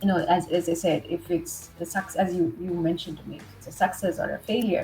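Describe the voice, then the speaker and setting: A woman's fairly low voice with an American accent, fairly quick and with hardly any pauses, big swings in loudness, and noticeable background noise. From India, Mumbai. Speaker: leadership trainer and coach. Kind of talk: interview.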